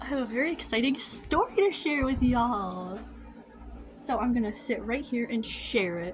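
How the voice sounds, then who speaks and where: A woman speaks with a high pitch at a moderate pace. Noticeable background noise runs underneath. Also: lively intonation. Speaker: vlogger. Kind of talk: casual chat. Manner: soft-spoken.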